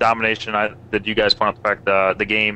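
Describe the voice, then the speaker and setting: A man with a fairly low pitch talks at a very fast pace in a monotone, flat intonation. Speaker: gamer discussing multiplayer. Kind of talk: casual discussion. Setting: live stream voice chat.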